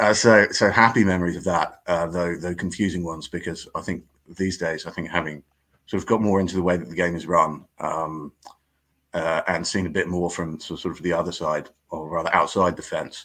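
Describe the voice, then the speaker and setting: With an English accent, a man speaks at a fairly quick pace in a very deep, low, monotone voice with flat intonation, recorded very cleanly against a silent background. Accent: English (Pommy). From southern England, Surrey. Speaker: cricket writer. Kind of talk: podcast interview. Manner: halting, many fillers and repetitions.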